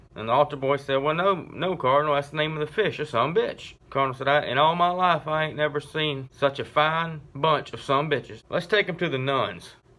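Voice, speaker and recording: Speaking at a fairly quick pace, a man with a normal speaking voice talks at a fairly high pitch with ordinary pitch variation. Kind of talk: joke telling. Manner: casual storytelling.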